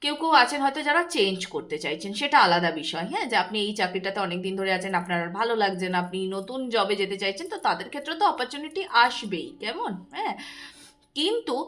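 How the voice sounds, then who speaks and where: A woman's fairly high voice with very wide pitch swings, over noticeable background noise. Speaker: tarot reader. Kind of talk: tarot reading monologue. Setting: recording at night.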